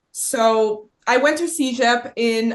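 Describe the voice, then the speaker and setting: In a Quebec accent, a woman talks with a bright, sharp tone. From Quebec, Gatineau. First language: French. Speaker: production designer, podcast guest. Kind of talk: casual chat. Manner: halting.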